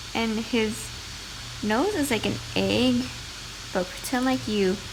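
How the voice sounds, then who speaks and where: A woman at a very slow pace with lively intonation, amid noticeable background noise. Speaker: amateur artist. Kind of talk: drawing tutorial narration. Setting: low-quality home recording. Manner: some stuttering and repetition.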